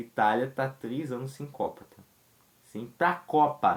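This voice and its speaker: A man speaks with ordinary pitch variation. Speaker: football commentator youtuber. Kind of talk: casual commentary vlog.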